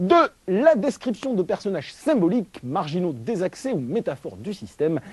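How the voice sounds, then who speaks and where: A man speaks at a moderate pace with a high pitch. His pitch moves in very wide swings. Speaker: film critic. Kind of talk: film review.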